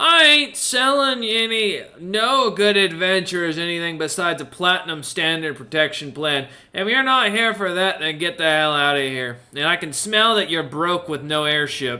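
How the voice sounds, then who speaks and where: A man's put-on character voice, gruff, high-pitched, raised and projected, at a moderate pace with hardly any pauses. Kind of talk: casual, slangy. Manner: dismissive, sales-pitching.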